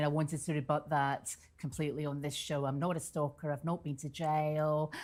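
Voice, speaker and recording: A woman speaks in a Scottish accent at a moderate pace. Her very deep, low voice sits on a very clean recording with a silent background. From Scotland, Central Belt. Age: 50s. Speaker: interview guest. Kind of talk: TV interview.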